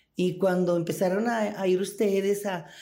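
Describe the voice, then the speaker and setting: A woman speaks at a fairly slow pace in a dark, mellow tone, with audible room echo. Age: 60s. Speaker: former prisoner. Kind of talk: interview testimony.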